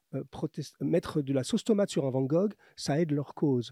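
Close and dry with no echo, a man speaks in a dark, mellow tone at a moderate pace with ordinary pitch variation. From France. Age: 50s. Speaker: menswear author and YouTuber. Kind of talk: interview.

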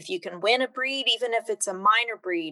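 With a Midwestern US accent, a woman speaks at a fairly high pitch with ordinary pitch variation. Her tone is bright and sharp, and the sound is dry and close with no echo. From Kansas (Emporia). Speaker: extension regional director. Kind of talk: casual interview.

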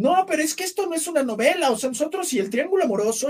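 A man's extremely high-pitched voice at a very fast pace with lively intonation. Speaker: actor. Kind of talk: casual interview.

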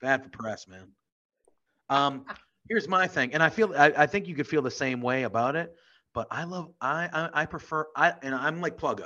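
A man with a Northeastern American accent speaks at a fairly high pitch and a moderate pace, with ordinary pitch variation. His tone is bright and sharp, his loudness swings widely, and the background is quiet. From US Northeast. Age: 30s. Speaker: podcast co-host. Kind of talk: casual chat. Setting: video call.

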